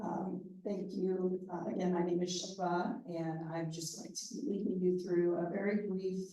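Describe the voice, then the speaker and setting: A woman at a medium pitch talks at a fairly slow pace, with audible echo from the room. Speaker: meditation leader. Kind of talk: guided meditation.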